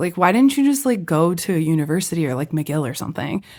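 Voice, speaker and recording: A woman speaks with very wide swings in pitch. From California. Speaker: musician. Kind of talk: casual chat.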